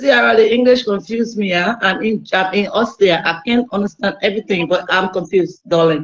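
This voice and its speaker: A woman with a Liberian accent speaks at a medium pitch and moderate pace, with ordinary pitch variation and hardly any pauses. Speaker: caller. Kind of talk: casual chat. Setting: video call. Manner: halting.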